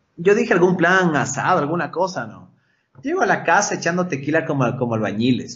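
A man's fairly quick speech carries audible room echo. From Ecuador, Quito. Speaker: motocross rider. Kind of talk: casual chat. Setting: studio.

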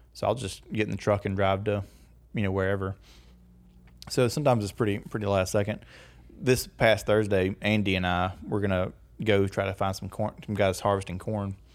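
A man's fairly low voice with a slight Southern US accent, fairly quick pace, monotone flat intonation, and long, frequent pauses. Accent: slight Southern country. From US South, rural northeast Louisiana. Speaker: agricultural media producer. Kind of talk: casual chat.

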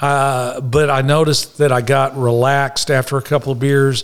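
A man speaks with a Texan accent at medium pitch. His intonation is monotone and flat. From Dallas, Texas. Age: 60s. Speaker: recovering alcoholic. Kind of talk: testimony.

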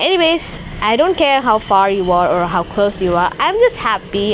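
A woman with a medium-pitched voice swings very widely in pitch against noticeable background noise. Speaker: solo podcaster. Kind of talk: casual solo vlog-style monologue. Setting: rooftop, outdoors. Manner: rambling, casual, halting.

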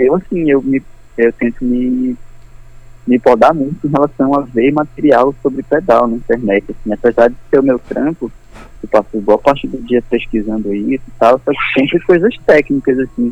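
A man with a plain, everyday voice speaks at a medium pitch. His pace is moderate, with ordinary pitch variation. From Belém, Pará, Brazil. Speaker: guitar pedal builder. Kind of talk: casual interview. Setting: phone call.

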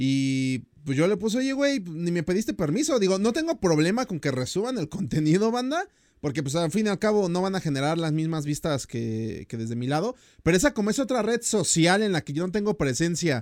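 Speaking at a fairly quick pace with a Mexican accent, a man uses a high pitch and very wide pitch swings. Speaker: podcast host and YouTuber. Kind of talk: casual chat. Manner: animated.

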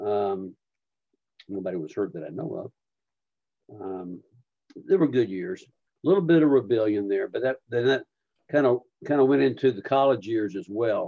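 Long, frequent pauses break up a man's medium-pitched speech. His pitch swings very widely. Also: moderate pace. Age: 70s. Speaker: retired minister, father of the host. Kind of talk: casual interview recalling his past.

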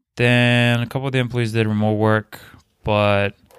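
This man talks at a fairly quick pace with a medium pitch and fairly even intonation. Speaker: podcast guest. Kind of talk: casual chat. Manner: monotone.

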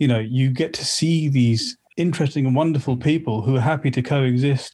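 With a southern English accent, a man talks at a moderate pace and medium pitch, his tone dark and mellow and his intonation fairly even. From Slough, England. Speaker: collector of Sikh art and artefacts. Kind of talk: casual interview. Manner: halting, many fillers and repeats.

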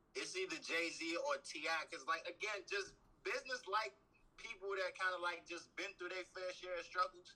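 A man with an American accent uses a raised, projected voice that is high-pitched, with a bright, sharp tone, ordinary pitch variation and a moderate pace. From Maryland. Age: 20s. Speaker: rapper. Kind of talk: casual interview.

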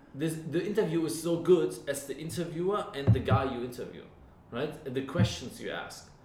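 A man speaks at a fairly high pitch with ordinary pitch variation. Noticeable background noise runs beneath him. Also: moderate pace, big swings in loudness. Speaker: guest, friend giving feedback. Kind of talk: casual chat. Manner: halting, repeats words.

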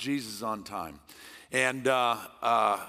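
This man's voice sits at a medium pitch. His intonation is lively. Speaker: guest preacher. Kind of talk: sermon. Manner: loud; intense, passionate.

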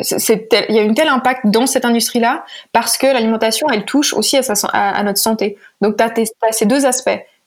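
A woman with a normal speaking voice, fairly high pitch and fairly even intonation. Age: 20s. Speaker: startup founder and CEO. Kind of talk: interview.

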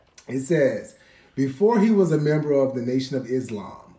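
A man with an American accent speaks at a fairly high pitch in a dark, mellow tone. His voice is somewhat breathy. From Columbia, South Carolina. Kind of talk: casual chat with trivia quiz.

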